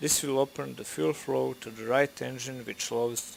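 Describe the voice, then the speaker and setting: A man with a Balkan accent speaks at a moderate pace and medium pitch. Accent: Slavic (Serbo-Croatian) accent in English. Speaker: flight sim gamer / tutorial maker. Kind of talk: tutorial. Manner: measured, instructional.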